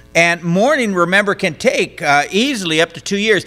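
Here a man is speaking. Faint music plays in the background. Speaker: pastor. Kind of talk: sermon. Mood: earnest, story-telling. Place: church. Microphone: podium.

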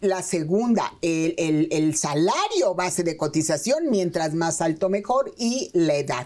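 Her pace is very slow, with hardly any pauses. The woman speaks at a fairly low pitch and very even loudness. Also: ordinary pitch variation. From Mexico. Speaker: pension expert; guest. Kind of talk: expert interview. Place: studio. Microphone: lapel.

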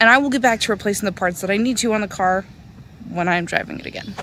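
A woman talks at a very fast pace. The sound is dry with no echo, over light background noise. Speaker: car DIY vlogger. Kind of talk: casual vlog chat. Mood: upbeat, slightly wry. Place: street. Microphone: phone near.

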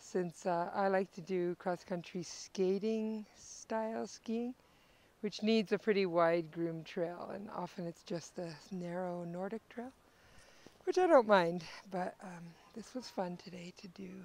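The sound is dry with no echo. A woman speaks at a fairly slow pace with ordinary pitch variation. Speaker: travel vlogger. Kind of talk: casual vlog chat. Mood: relaxed, positive. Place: forest. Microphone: earbuds.

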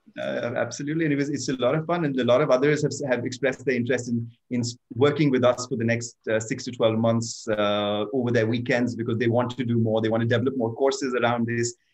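A man speaking at a very fast pace, with fairly even intonation. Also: medium pitch for a man, quiet background. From India. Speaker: foundation co-founder; webinar panelist. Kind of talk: panel discussion. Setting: video call. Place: home room. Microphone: webcam.

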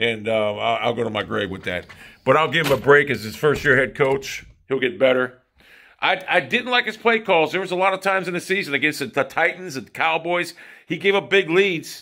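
A man's bright, sharp voice with vocal fry, very wide pitch swings and a fairly quick pace, over a quiet background. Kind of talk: casual vlog chat. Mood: opinionated, animated rant. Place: home room. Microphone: phone near.

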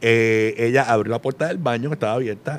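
A man reads at a very fast clip. His pitch moves in an ordinary way. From Puerto Rico. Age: 40s. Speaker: radio host. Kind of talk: casual chat. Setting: studio with live audience. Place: studio. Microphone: studio mic.

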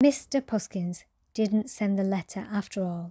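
On a very clean recording with a silent background and a dry, close sound with no echo, a woman speaks at a fairly slow pace and medium pitch, with a calm, soothing, dark, mellow tone, a somewhat breathy quality and ordinary pitch variation. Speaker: storyteller. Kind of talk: reading aloud.

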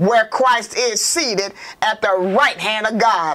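A woman is speaking. Her pace is fairly slow. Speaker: church minister. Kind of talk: prayer then scripture reading. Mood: fervent prayer, then steady reading. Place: studio. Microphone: lapel.

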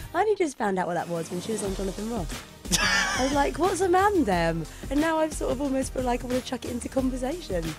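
Over clear music in the background, a woman speaks at a very fast pace. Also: dry sound with no echo. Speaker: radio presenter. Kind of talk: radio show banter. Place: studio.

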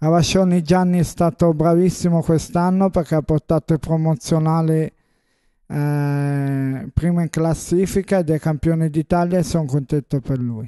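Fairly high in pitch yet dark and mellow in tone, a man speaks at a moderate pace with fairly even intonation. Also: quiet background. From northern Italy, Como area (Erba); northern Italy. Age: 30s. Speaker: amateur football team captain. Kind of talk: team presentation to camera. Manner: halting, with many hesitations. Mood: proud, warm. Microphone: handheld.

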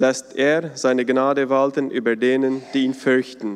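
At a fairly slow pace, a man speaks. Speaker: church service moderator. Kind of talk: welcome, scripture reading and prayer. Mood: calm, solemn. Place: church. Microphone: podium.

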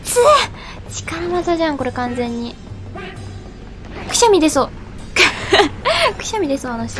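With music in the background, a woman speaks with very wide pitch swings and long, frequent pauses. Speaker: video game commentator. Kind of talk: game commentary. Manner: excitable, expressive.

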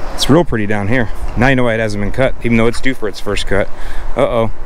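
A man's voice comes through dry, with no echo. Light background noise sits behind it. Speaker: lawn care educator. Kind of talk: casual walk-and-talk to camera. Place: street. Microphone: phone near.

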